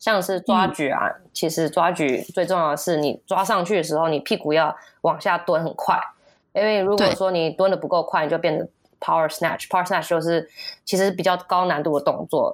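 A woman with an ordinary speaking voice and a fairly low pitch talks at a fairly quick pace with fairly even intonation. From US. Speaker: kindergarten teacher. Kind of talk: casual interview chat.

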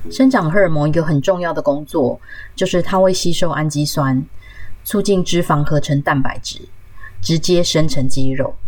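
At a moderate pace, a woman speaks with lively intonation and a very deep, low pitch. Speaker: podcast host. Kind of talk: solo health podcast talk.

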